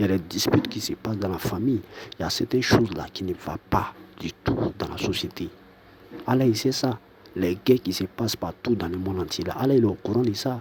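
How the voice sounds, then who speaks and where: Soft-spoken and fairly quick, a man talks at a fairly low pitch with ordinary pitch variation. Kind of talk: monologue to camera. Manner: halting.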